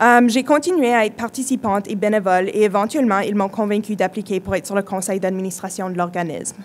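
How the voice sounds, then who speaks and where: Speaking at a very fast pace with hardly any pauses, a woman uses a medium pitch and ordinary pitch variation. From British Columbia, Canada (francophone, Quebecois parents). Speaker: youth community leader, speaker. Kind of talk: conference talk.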